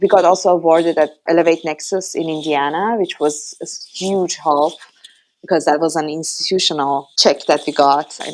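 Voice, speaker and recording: With a strong Iranian accent, a woman talks in a very deep, low pitch. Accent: heavy Iranian. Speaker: startup founder, former academic. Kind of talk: podcast interview.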